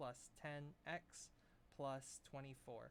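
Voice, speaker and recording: This man's voice has a fairly high pitch. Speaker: math teacher. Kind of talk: lecture. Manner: fast.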